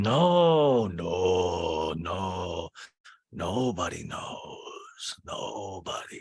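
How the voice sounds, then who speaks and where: A man puts on a raspy character voice at medium pitch and speaks at a very slow pace. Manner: secretive, emphatic.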